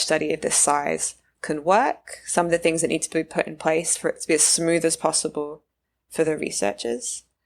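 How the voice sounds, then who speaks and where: A woman speaks in a British accent with a very deep, low pitch and ordinary pitch variation. The recording is very clean, with a silent background. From UK. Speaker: neuroscience postdoc. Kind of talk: interview conversation.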